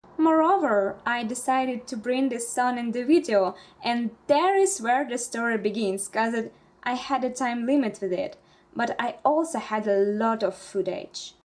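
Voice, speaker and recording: A woman with a Russian accent speaks at a moderate pace in a high pitch. Her intonation is lively, and there is noticeable background noise. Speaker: bullet journal vlogger. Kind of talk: casual vlog narration.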